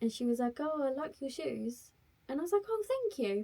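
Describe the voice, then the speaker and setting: A woman talks with a British accent at a fairly quick pace. Her tone is dark and mellow. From UK. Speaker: travel vlogger. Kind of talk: casual chat. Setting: garden shed.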